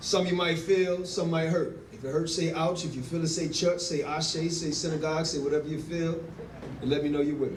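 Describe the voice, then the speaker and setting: Over noticeable background noise, a man talks at a fairly quick pace in a high pitch. His intonation is monotone and flat. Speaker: spoken word poet. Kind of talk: introduction to a live audience. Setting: live event venue.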